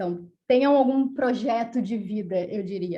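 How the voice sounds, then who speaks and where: A woman's voice has a dark, mellow tone and sounds somewhat breathy. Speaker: doctoral researcher. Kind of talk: panel talk. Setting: academic seminar. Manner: fast.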